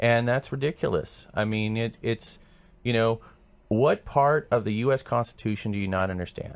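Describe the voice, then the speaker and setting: With an American accent, a man talks at a moderate pace in a fairly low pitch with ordinary pitch variation, on a very clean recording with a silent background. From Sacramento area, California. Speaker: political candidate. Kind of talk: radio interview. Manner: halting.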